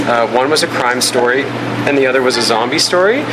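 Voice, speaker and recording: Noticeable background noise surrounds a man speaking at a very fast pace, his medium pitch showing ordinary pitch variation. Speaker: film director and screenwriter. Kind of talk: interview conversation. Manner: animated, enthusiastic.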